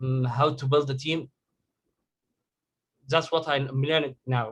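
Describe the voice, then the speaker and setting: The man's voice is somewhat breathy and flat, with monotone intonation. He talks at a fairly slow pace. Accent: Egyptian. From Egypt. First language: Arabic. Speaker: digital marketing agency owner. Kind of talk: question in group coaching call. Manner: halting.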